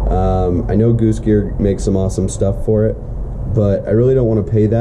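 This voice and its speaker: A man speaks at a fairly low pitch with ordinary pitch variation. Noticeable background noise can be heard. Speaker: camper build vlogger. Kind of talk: casual vlog chat. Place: garage. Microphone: phone near.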